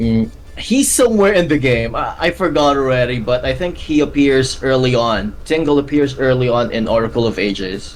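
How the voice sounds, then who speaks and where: A man at a medium pitch and moderate pace, with lively intonation and hardly any pauses, over music in the background. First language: not English. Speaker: gaming YouTuber. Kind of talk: casual chat. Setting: live stream. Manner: halting.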